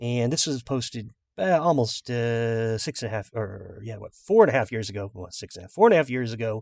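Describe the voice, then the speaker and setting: Speaking at a fairly quick pace with hardly any pauses, a man with an American accent keeps a medium pitch and ordinary pitch variation while his loudness swings widely. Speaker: gaming video creator. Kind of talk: tutorial. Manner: fast.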